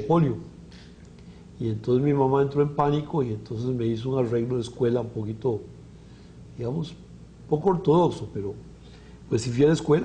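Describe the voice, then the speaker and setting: A man speaks at medium pitch, somewhat breathy. Room echo is audible. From Costa Rica, Alajuela. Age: 60s. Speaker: physician. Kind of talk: interview. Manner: halting.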